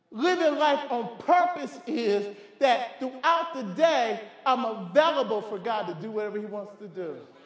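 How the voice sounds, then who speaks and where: Over noticeable background noise and audible room echo, the speaker sounds animated, with lively intonation at a moderate pace. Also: man, extremely high pitch for a man. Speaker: pastor. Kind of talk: sermon. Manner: animated, repetitive emphatic delivery.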